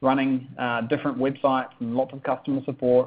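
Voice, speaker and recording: With a New Zealand accent, a man speaks at a fairly quick pace. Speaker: online business coach. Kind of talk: sales webinar. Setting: webinar.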